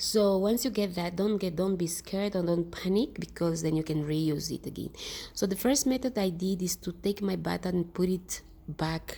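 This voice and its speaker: With a non-native accent, a woman speaks at a moderate pace in a medium-pitched, somewhat breathy voice with ordinary pitch variation. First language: not English. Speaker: DIY skincare vlogger. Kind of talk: tutorial. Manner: halting; casual.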